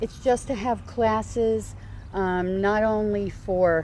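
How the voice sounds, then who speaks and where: Very slowly, a woman speaks with an American accent. Her pitch is medium and her tone is dark and mellow. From New Jersey, US. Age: 60s. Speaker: community garden founder. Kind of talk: interview. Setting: outdoors.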